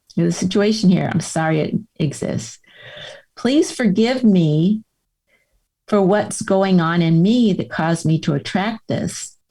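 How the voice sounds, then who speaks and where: Her somewhat breathy voice has a dark, mellow tone, and this woman uses lively intonation. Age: 70s. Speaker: author and Camino pilgrim; former caregiver. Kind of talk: podcast interview answer.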